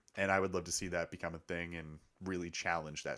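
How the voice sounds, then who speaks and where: In a very clean recording with a silent background, a man with a very deep, low pitch and vocal fry speaks at a fairly quick pace with ordinary pitch variation. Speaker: sports podcast host. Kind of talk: casual chat. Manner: loud.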